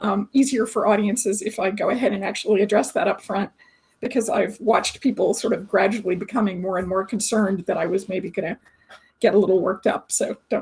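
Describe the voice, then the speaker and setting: Somewhat breathy, a woman speaks at a medium pitch. Her pace is very fast. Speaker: researcher. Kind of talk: webinar presentation.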